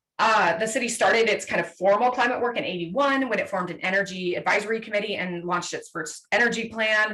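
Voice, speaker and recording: A woman with a fairly high pitch speaks very fast with hardly any pauses and ordinary pitch variation. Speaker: city sustainability manager. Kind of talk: presentation. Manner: animated.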